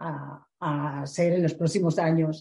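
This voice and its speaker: A woman speaks at a very slow pace with a very deep, low pitch and a dark, mellow tone. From Galicia, Spain (A Coruña). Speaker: visual merchandiser. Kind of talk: interview. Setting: in person, recorded live. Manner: hesitant, many fillers.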